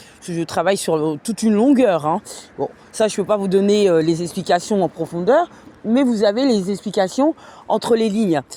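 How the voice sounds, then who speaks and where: Over noticeable background noise, a woman with medium pitch speaks at a moderate pace with lively intonation. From France. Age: 30s. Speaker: vlogger, cleaning worker. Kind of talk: casual livestream monologue. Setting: at home. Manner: hesitant, many fillers.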